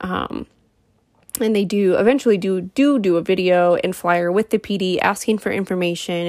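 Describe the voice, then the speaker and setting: A plain, everyday voice from a woman at medium pitch, fairly quick and fairly even in intonation, on a very clean recording with a silent background. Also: dry, close sound with no echo. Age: 30s. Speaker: true crime podcaster. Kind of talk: casual true crime narration. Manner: casual, filler-heavy.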